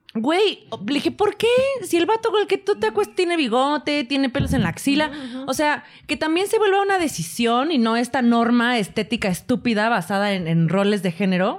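Animated and high-pitched, a woman speaks at a fairly quick pace with very wide pitch swings. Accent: Mexican. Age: 30s. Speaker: podcast co-host. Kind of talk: casual chat.

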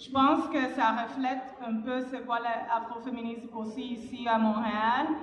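With a high pitch and monotone, flat intonation, a woman speaks at a moderate pace, her loudness swinging widely, amid audible room echo and noticeable background noise. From Cuba. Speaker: panelist, activist. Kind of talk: panel discussion.

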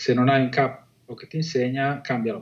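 A man with a medium pitch talks at a moderate pace in a monotone, flat intonation. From Liguria, Italy (Chiavari). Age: 40s. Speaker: entrepreneur. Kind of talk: interview.

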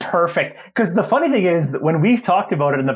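The man's high-pitched voice rises and falls in very wide swings. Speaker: hockey referee podcast host. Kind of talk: casual chat.

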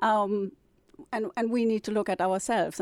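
A woman at medium pitch with a German accent, fairly quick and monotone with flat intonation, in a dry, close sound with no echo on a very clean recording with a silent background. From northern Germany. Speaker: novelist and publisher. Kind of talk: interview.

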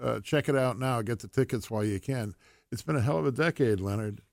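Using a normal speaking voice, a man talks at a fairly low pitch with ordinary pitch variation. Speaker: radio host. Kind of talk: casual interview.

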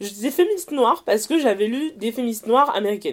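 Speaking at a very fast pace, a woman uses lively intonation. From France, Seine-Saint-Denis (Paris suburbs). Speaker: author and blogger. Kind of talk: casual interview. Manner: hesitant, many fillers; fast run-on speech.

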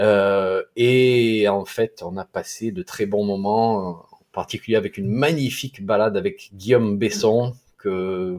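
With a southeastern French accent, a man speaks at a fairly low pitch, his loudness swinging widely. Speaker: podcast host, herbal medicine blogger. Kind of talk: interview. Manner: slow.

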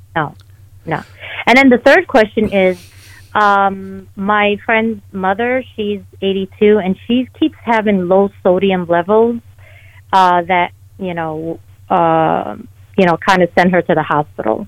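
Speaking very slowly with long, frequent pauses, a woman keeps a medium pitch and ordinary pitch variation. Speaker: caller. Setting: phone call.

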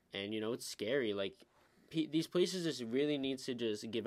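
An ordinary speaking voice moves at a fairly quick pace with lively intonation on a very clean recording with a silent background. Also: man. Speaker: co-host. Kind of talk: casual chat.

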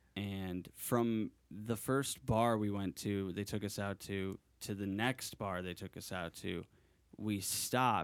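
A man with an American accent and an ordinary speaking voice talks at a fairly low pitch with fairly even intonation. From US New England. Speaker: podcast co-host. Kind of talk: casual chat.

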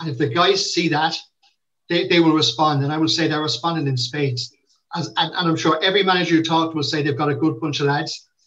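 This man has a Limerick accent and speaks at a very fast pace. His voice is fairly high in pitch with fairly even intonation. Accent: Limerick Irish. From Ireland, Limerick. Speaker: football club manager. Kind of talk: interview. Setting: video call.

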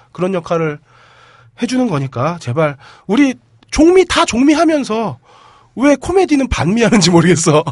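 A man's pitch swings very widely while he keeps to a moderate pace. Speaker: podcast host. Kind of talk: casual banter podcast.

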